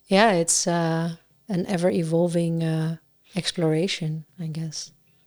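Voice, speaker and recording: Speaking at a fairly slow pace, a woman keeps her fairly low voice in fairly even intonation. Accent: Dutch. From Netherlands. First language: Dutch. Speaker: singer-songwriter. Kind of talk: casual chat. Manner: halting.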